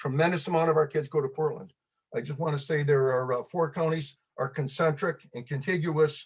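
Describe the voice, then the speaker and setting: With an American accent, a man talks at a fairly high pitch. His voice is somewhat breathy. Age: 70s. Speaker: public commenter. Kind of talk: public testimony. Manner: fast.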